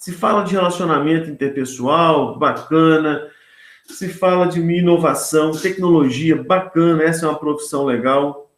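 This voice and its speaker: A man talks at a fairly slow pace. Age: 60s. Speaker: professor. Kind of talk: panel discussion. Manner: casual, colloquial.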